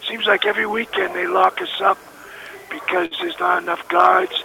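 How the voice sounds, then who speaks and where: A man speaking at a moderate pace amid noticeable background noise. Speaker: federal prison inmate. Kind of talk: phone testimony and exhortation. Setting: prison phone call.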